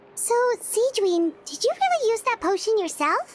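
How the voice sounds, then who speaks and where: In a put-on character voice, a woman squeaks at an extremely high pitch with lively intonation. Her pace is moderate. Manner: surprised.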